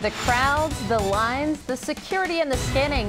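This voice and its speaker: A woman's lively intonation at a moderate pace over music in the background. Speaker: TV news anchor. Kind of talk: TV news anchor read.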